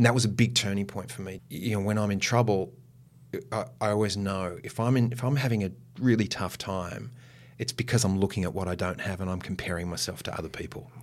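Speaking at a very fast pace with an Australian accent, a man uses a fairly low pitch and ordinary pitch variation. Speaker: actor. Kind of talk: interview conversation.

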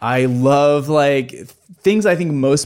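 On a very clean recording with a silent background, a man with an unremarkable speaking voice talks at medium pitch with ordinary pitch variation. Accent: American. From US Midwest. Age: 30s. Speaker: documentary filmmaker and YouTube channel founder. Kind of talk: casual interview chat.

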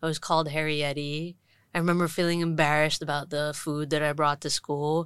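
A woman speaks in a monotone, flat intonation. Her pitch is very deep and low. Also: fairly quick pace, quiet background. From Hong Kong, Indian family. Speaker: trainee addiction counsellor. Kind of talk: interview, personal story.

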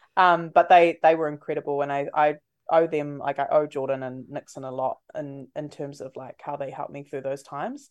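A woman with a New Zealand accent talks fairly quickly at a very deep, low pitch, her intonation fairly even but her loudness swinging widely, against a quiet background. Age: 20s. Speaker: breakfast radio host. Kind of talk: casual interview chat.

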